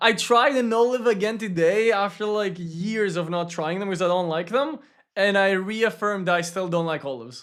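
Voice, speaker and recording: High in pitch, a man speaks on a very clean recording with a silent background. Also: ordinary pitch variation, moderate pace. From Greece. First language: Greek. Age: 20s. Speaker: gaming streamer. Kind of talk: casual chat. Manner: casual, conversational.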